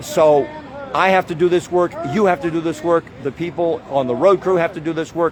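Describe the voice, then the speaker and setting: Crowd noise fills the background as a man with an American accent speaks at a fairly quick pace, his high pitch held in fairly even intonation. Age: 70s. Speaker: activist protester. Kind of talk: live stream monologue. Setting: outdoors. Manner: impassioned.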